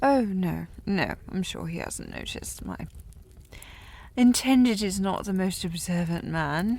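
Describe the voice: A woman does a put-on character voice at a slow pace and fairly low pitch. Her tone is slightly mellow, with big pitch swings.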